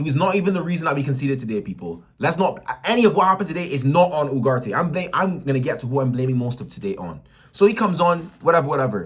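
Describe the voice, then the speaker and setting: Animated and speaking at a very fast pace, a man with a fairly high pitch and vocal fry uses lively intonation. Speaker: football fan vlogger. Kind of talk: match reaction rant.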